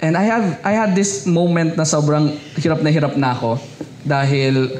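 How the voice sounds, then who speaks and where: Lively intonation amid noticeable background noise and audible room echo. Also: man. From Philippines, Rizal province (Binangonan). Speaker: pastor. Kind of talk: sermon.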